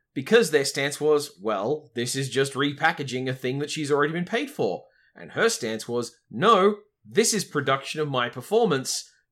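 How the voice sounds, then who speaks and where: Here a man with an Australian accent speaks at a moderate pace with a fairly high pitch. His intonation is lively, and the recording is very clean with a silent background. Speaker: podcast host. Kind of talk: casual chat.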